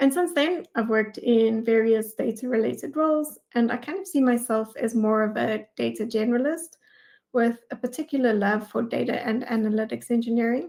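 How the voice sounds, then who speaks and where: A woman speaks with a South African accent. Her pitch varies in an ordinary way. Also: fairly high pitch for a woman, moderate pace. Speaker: data engineering manager. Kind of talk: conference talk.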